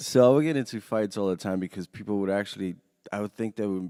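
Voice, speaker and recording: A man talks at a very fast pace with a New York accent, his pitch fairly low and his tone dark and mellow. The sound is dry and close, with no echo. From Romania, then Queens New York from about age nine. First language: Romanian. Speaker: artist and former rave organizer. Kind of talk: casual interview chat.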